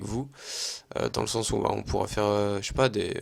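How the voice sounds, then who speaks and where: Very fast and monotone, a man talks with flat intonation and vocal fry. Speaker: gaming youtuber. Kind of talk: gameplay commentary. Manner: casual, hesitant with fillers.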